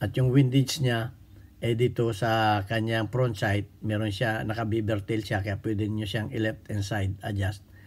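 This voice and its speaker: Heard over a silent background in a very clean recording, a man's voice is somewhat breathy and medium in pitch. He speaks at a fairly slow pace with fairly even intonation. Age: 60s. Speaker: firearms instructor. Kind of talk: tutorial. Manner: halting.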